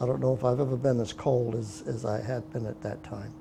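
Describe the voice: A man speaks at a fairly quick pace with vocal fry. His intonation stays fairly even. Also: medium pitch for a man.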